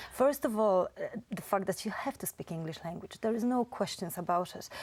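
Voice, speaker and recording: With a Polish accent, a woman at medium pitch talks at a fairly quick pace, her intonation lively and her loudness swinging widely. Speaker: Polish community representative. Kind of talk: interview.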